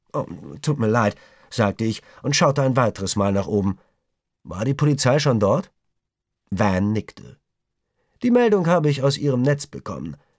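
Recorded with a dry, close sound and no echo, a man with a medium pitch speaks at a moderate pace, using lively intonation and long, frequent pauses. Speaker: audiobook narrator. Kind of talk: audiobook reading, dramatic narration with character dialogue. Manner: gripping, suspenseful, tense, with varied pacing and voices for characters.

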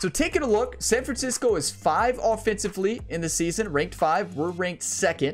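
A man speaks at a moderate pace with faint music in the background. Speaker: gaming YouTuber. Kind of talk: gameplay commentary. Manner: animated.

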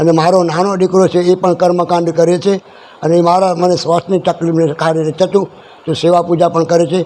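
Noticeable background noise surrounds a man speaking. His voice is high and his intonation is monotone and flat. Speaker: temple priest. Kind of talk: interview.

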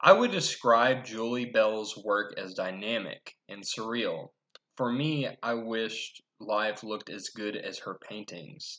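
A man speaks at a very slow pace, his loudness swinging widely. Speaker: presenter. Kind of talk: class presentation. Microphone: webcam.

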